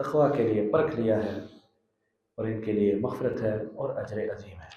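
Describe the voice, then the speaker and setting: A man's plain, everyday voice at medium pitch, with big swings in loudness. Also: ordinary pitch variation. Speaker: Islamic scholar giving a tafseer lecture. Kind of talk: religious lecture (Quran tafseer sermon in Urdu).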